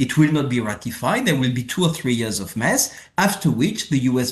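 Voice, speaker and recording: At a fairly quick pace, a man talks in a somewhat breathy voice with a French accent. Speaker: former international tax policy official and professor. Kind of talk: casual interview.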